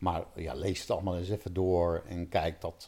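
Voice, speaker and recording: On a very clean recording with a silent background, a man talks at a fairly slow pace in a dark, mellow tone. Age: 50s. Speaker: pain relief coach. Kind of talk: interview. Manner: halting.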